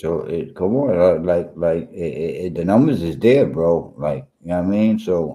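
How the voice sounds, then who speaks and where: With a New York accent, a man speaks at a very deep, low pitch in a dark, mellow tone, keeping a moderate pace with hardly any pauses and ordinary pitch variation. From New York, Brooklyn. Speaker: sports podcast co-host. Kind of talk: casual chat.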